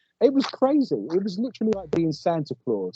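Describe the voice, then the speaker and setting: A man with an English accent, very wide pitch swings and a fairly quick pace. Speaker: paranormal investigator. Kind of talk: casual interview chat.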